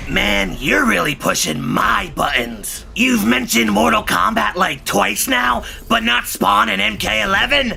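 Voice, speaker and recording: A man's put-on character voice at a fairly slow pace with hardly any pauses, over clear background noise. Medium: comedy sketch. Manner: taunting, playful.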